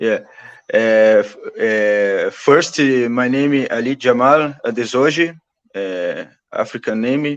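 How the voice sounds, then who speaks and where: A very slow pace with ordinary pitch variation. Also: man, medium pitch for a man. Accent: Brazilian Portuguese. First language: Portuguese. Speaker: activist. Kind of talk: interview conversation. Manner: halting.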